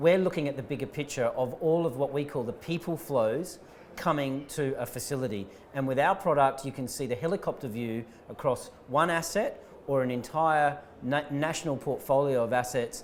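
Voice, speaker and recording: This man has an Australian accent and a fairly high pitch. He talks at a moderate pace with ordinary pitch variation. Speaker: startup founder and CEO. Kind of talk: conference interview. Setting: live conference stream.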